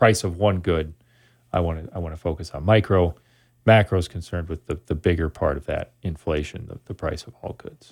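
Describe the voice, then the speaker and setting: A man with a very deep, low pitch, somewhat breathy, at a fairly quick pace with ordinary pitch variation and big swings in loudness, on a very clean recording with a silent background. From Wisconsin (Sun Prairie, near Madison). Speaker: economics professor. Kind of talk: interview.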